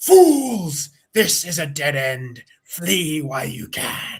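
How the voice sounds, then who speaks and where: Using a put-on character voice that is raspy and middle in pitch, the speaker goes at a very slow pace. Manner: warning, ominous.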